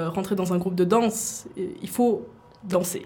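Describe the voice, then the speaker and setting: A woman speaks with ordinary pitch variation. Noticeable background noise runs under her voice. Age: 20s. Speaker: university student and K-pop dancer. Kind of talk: radio interview.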